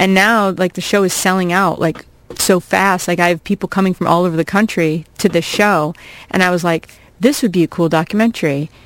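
In an American accent, a normal speaking voice moves at a fairly quick pace with ordinary pitch variation, recorded with a dry, close sound and no echo. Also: woman. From US Midwest, small-town Iowa. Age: 40s. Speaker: comedian and college teacher. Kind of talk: casual chat. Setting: radio studio.

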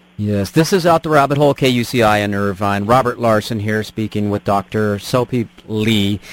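Speaking at a moderate pace with hardly any pauses, a man with a plain, everyday voice uses a fairly low pitch and ordinary pitch variation in a dry, close sound with no echo. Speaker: radio host. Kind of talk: radio interview. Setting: radio studio.

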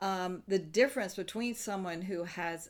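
This woman has an unremarkable speaking voice. Her pitch shows ordinary variation. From US South. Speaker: improv comedian and actor. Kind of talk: interview. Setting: remote interview.

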